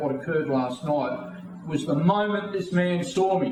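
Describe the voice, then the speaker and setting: A man speaks with an Australian accent, his intonation lively and his pace moderate. There is noticeable background noise and audible room echo. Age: 60s. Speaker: political party leader. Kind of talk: interview.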